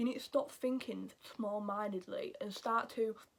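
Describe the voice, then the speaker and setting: In a Yorkshire accent, with ordinary pitch variation at a moderate pace. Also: woman. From Yorkshire, northern England. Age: 20s. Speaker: YouTuber giving advice. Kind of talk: casual advice vlog.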